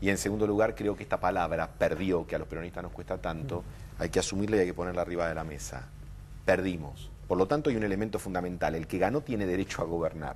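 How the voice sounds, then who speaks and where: A man with a very deep, low pitch and vocal fry talks at a very fast pace with ordinary pitch variation. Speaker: political commentator. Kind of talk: televised political debate.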